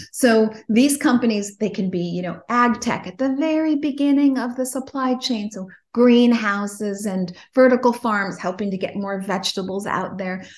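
A woman with an American accent speaks at a moderate pace in a fairly high pitch, somewhat breathy, with ordinary pitch variation and a quiet background. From Chicago. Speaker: investment fund CEO. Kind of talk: casual interview.

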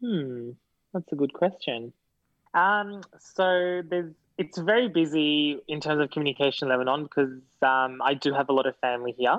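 A man speaks in an Australian accent at a moderate pace. His pitch is fairly high, with ordinary variation. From Sydney, Australia. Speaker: guest. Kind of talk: casual chat. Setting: video call.

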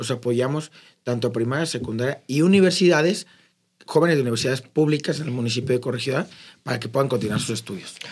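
Speaking at a very fast pace, a man uses a medium pitch and ordinary pitch variation. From Mexico, Querétaro (Corregidora). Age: 30s. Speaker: local politician. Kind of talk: interview.

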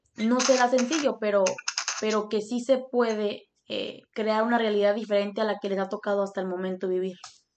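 Fairly high in pitch, a woman speaks at a moderate pace with fairly even intonation. It is a normal speaking voice. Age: 20s. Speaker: podcast host. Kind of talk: casual interview with grandfather. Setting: call with grandfather.

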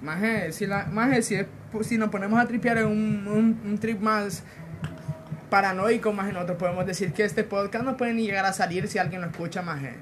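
Music plays in the background. A man with a Honduran accent talks at a fairly quick pace. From Honduras. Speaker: podcast co-host. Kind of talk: casual chat.

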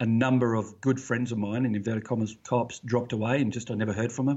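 A man's medium-pitched voice with fairly even intonation and an Australian accent. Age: 40s. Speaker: retired police officer, podcast host. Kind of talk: interview, personal testimony. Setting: remote call, early morning for him.

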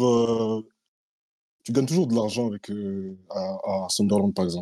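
Long, frequent pauses mark a man's speech, delivered in a dark, mellow tone. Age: 20s. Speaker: communication student. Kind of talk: opinion monologue.

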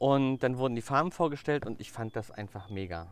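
An unremarkable speaking voice at a moderate pace with lively intonation, in a very clean recording with a silent background. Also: man. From Mecklenburg-Vorpommern, Germany. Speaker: hairdresser and color trainer. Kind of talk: casual interview. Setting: outdoors in a garden.

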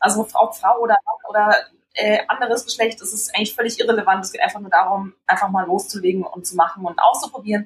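A woman talks at a very fast pace in a fairly high pitch, somewhat breathy. Her pitch variation is ordinary, while her loudness swings widely. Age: 20s. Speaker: foundation co-founder and trainee teacher. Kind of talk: interview.

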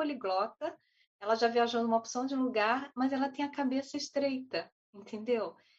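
A woman with a high pitch talks at a moderate pace in lively intonation. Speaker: panelist. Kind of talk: online panel discussion. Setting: video call.

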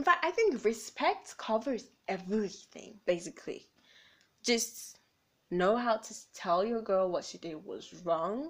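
A woman speaks at a fairly slow pace in an animated tone, her fairly high pitch swinging very widely and her loudness rising and falling in big swings. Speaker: solo podcast host. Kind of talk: casual monologue.

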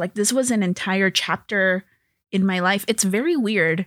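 A woman with a plain, everyday voice and an American accent, medium in pitch with ordinary pitch variation, at a moderate pace, dry and close with no echo. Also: very clean recording, silent background. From Los Angeles, Salvadoran American family. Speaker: TV and animation writer. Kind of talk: casual interview.

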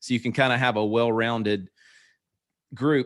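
A man with a Southern US accent, medium pitch, fairly even intonation and a fairly quick pace, on a very clean recording with a silent background. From US South. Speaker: pastor and podcast co-host. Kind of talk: casual interview.

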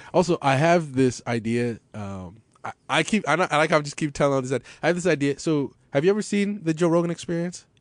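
An ordinary speaking voice from a man with an American accent, fairly high in pitch, with lively intonation, a fairly quick pace and hardly any pauses. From Los Angeles, US. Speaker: podcast host. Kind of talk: casual chat, podcast conversation. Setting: studio at a radio station.

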